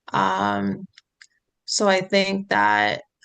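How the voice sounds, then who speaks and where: A woman talks with an American accent. The background is quiet. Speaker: role-play counseling client. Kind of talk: mock counseling session. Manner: hesitant, many fillers; quiet, not outspoken.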